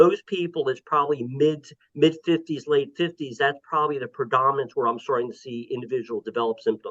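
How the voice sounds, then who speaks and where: This man has a normal speaking voice with a fairly high pitch and ordinary pitch variation. He talks at a fairly quick pace with hardly any pauses. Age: 60s. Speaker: neurologist. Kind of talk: podcast interview.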